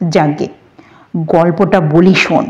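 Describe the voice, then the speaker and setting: Putting on a gruff character voice, a woman speaks at a fairly low pitch with ordinary pitch variation. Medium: read story. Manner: gruff, boastful, leisurely.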